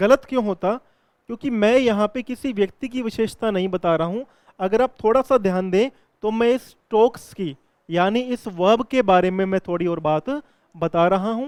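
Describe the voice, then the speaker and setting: The sound is dry and close, with no echo. Pitch variation is ordinary. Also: man. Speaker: English grammar teacher. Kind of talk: lecture. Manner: explanatory, repetitive.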